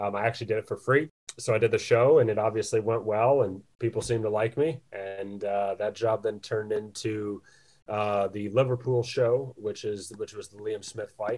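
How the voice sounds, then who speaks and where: A man speaks at a moderate pace in a fairly low, somewhat breathy voice with fairly even intonation, on a very clean recording with a silent background. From United States. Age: 20s. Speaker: boxing ring announcer. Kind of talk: interview answer.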